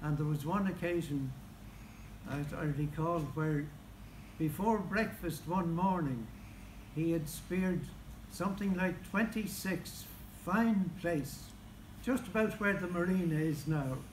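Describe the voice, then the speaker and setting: This man has an Irish accent and a high pitch, with ordinary pitch variation. He speaks at a fairly slow pace with long, frequent pauses, and audible room echo surrounds him. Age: 80s+. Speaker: local historian. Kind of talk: speech at book launch.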